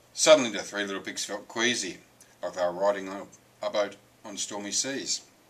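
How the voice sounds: Lively intonation runs through this speech. It is a natural reading voice.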